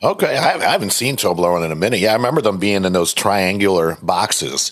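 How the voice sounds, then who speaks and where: Very fast speech from a man at a fairly low pitch, very even in loudness, with ordinary pitch variation and noticeable background noise. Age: 40s. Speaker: podcast host. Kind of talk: interview. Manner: casual.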